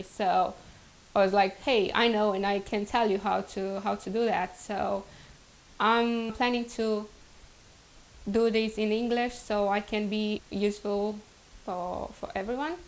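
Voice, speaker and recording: A woman with a Romanian accent, medium in pitch, at a moderate pace and with fairly even intonation. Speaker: vlogger. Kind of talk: casual vlog introduction.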